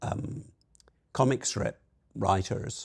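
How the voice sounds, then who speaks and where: Vocal fry runs through this man's voice. He speaks at a very slow pace. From Scotland. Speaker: marketing executive. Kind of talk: podcast interview. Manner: hesitant, many fillers.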